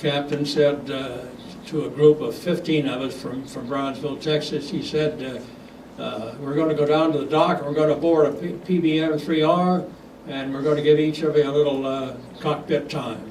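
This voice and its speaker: A moderate pace and fairly even intonation amid noticeable background noise. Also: man, fairly high pitch for a man. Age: 80s+. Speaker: retired airline captain. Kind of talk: talk to club audience.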